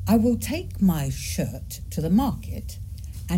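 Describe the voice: A voice in plain reading aloud.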